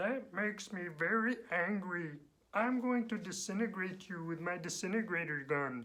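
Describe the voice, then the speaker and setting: The voice has a middle pitch. It is a put-on character voice. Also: moderate pace. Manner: menacing, comically threatening.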